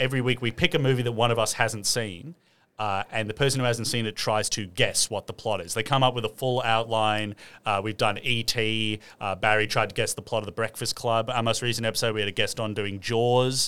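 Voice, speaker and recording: A man with an Australian accent speaks at a fairly quick pace in a medium pitch, his bright, sharp tone and fairly even intonation captured on a very clean recording with a silent background. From Sydney, Lane Cove. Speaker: comedian. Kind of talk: casual chat.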